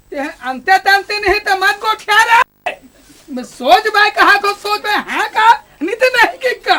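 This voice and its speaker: This put-on character voice is gruff and pitched extremely high. It moves at a moderate pace. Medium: short film. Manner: gruff, bossy.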